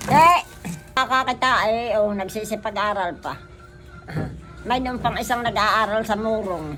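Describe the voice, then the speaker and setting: A woman speaks at a fairly slow pace in a fairly high voice, leaving long, frequent pauses while music plays in the background. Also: ordinary pitch variation. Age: 80s+. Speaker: street vendor. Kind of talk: interview answer.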